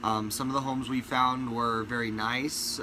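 Noticeable noise sits in the background. The pace stays moderate. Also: man. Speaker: family vlogger. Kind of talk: casual vlog chat. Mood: mildly disappointed. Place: home room. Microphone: phone near.

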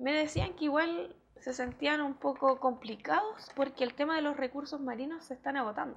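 A woman speaks in a high pitch at a moderate pace. Her pitch varies in an ordinary way over light background noise. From Chile, Hualpén (Biobío region); Biobío region, Chile. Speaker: mayoral candidate and school education assistant; candidate. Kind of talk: TV interview. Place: studio. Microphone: lapel.

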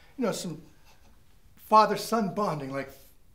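A man's voice moves through very wide pitch swings. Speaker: actor playing a father. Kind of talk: scripted comedy sketch dialogue and singing. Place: home room.

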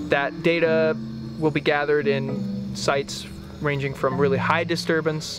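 A man is speaking, and the sound is dry with no echo. Clear music plays in the background. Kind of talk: interview answer. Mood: enthusiastic, informative. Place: garden. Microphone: lapel.

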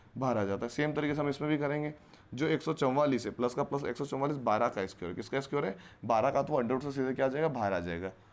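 A man with a medium pitch rattles through his words at a very fast pace. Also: ordinary pitch variation. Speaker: maths teacher for entrance exam. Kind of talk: lecture. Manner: animated. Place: classroom. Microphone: lapel.

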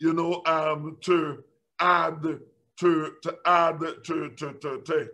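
A man's voice, high in pitch. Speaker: preacher. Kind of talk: sermon, Bible teaching. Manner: repetitive, halting, fervent. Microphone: webcam.

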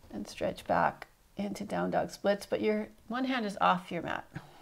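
Vocal fry marks this woman's voice as she talks at a fairly slow pace. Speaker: yoga instructor. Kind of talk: guided yoga instruction. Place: home room.

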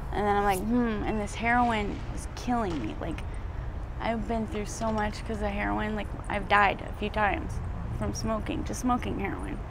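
Over noticeable background noise, a woman talks at a moderate pace in a dry sound with no echo. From Arizona. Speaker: homeless former drug addict. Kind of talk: street interview. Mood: emotional, near tears. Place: street.

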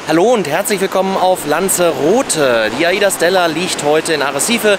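Noticeable background noise sits behind a man speaking with ordinary pitch variation, the sound dry with no echo. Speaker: travel vlogger. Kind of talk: casual vlog chat. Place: beach. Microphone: phone near.

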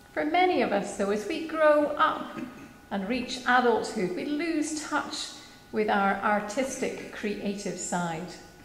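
Audible room echo surrounds a woman's high voice, which swings very widely in pitch at a very slow pace. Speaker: minister. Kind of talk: church reflection / sermon. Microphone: podium.

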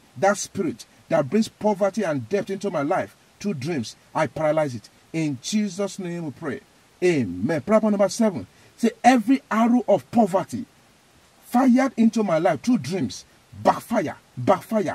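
This man has a dark, mellow tone and a high pitch, speaking with a Nigerian accent at a moderate pace. His intonation is lively, and the sound is dry with no echo. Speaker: evangelist. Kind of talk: fervent prayer, loud command-style declarations, repeating phrases with rising intensity. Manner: emphatic, repetitive, forceful.

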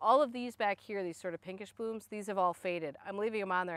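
A woman speaks with ordinary pitch variation in a dry recording with no echo. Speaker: garden blogger. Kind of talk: casual garden tutorial. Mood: enthusiastic. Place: garden.

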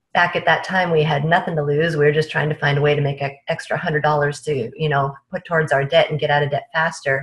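The woman's pitch is very deep and low, and her delivery is somewhat breathy with fairly even intonation. The background is quiet. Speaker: remote podcast guest. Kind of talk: interview answer. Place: home room. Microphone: earbuds.

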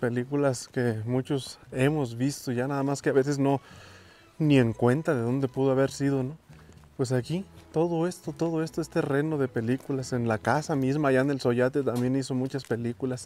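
The voice has a dark, mellow tone and fairly even intonation at a moderate pace, with a dry sound and no echo. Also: man. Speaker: travel vlogger. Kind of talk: casual vlog chat. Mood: happy, nostalgic. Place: street. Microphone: phone near.

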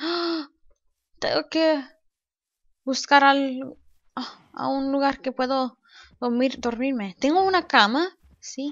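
Her pitch high and its variation ordinary, a woman speaks very slowly with long, frequent pauses. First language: English (speaking Spanish). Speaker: gaming YouTuber. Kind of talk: let's play commentary. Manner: halting.

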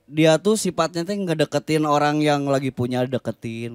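A man's voice at a moderate pace, with ordinary pitch variation and a dry sound with no echo. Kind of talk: casual banter between songs. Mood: relaxed, joking. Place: studio. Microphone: handheld.

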